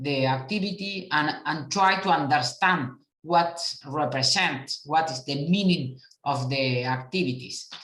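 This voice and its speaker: A woman with a Uruguayan accent speaks at a fairly slow pace in a very deep, low voice with ordinary pitch variation. Audible room echo surrounds her. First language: Spanish. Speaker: international cooperation official. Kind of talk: conference talk. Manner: halting; calm and moderate.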